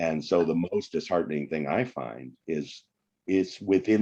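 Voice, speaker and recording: A man speaks at a fairly slow pace in a very deep, low voice with a dark, mellow tone, lively intonation and some vocal fry. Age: 60s. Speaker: economics professor and author. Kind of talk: podcast interview.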